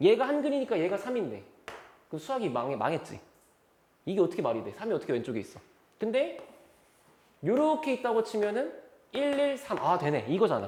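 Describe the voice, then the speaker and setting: Fairly quick delivery broken by long, frequent pauses. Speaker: math teacher. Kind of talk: lecture. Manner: fast; animated.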